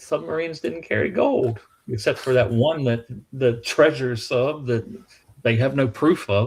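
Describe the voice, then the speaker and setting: Somewhat breathy, a man speaks at a fairly slow pace, his pitch varying in an ordinary way. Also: medium pitch for a man. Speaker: museum historian. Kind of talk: casual chat. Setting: live stream. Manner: animated.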